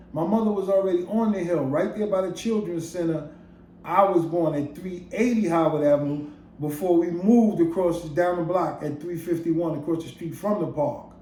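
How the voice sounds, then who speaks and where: With audible room echo, a man speaks at a moderate pace in a dark, mellow tone, his high pitch showing ordinary variation. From Brooklyn, New York City. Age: 60s. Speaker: storyteller. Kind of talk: casual monologue.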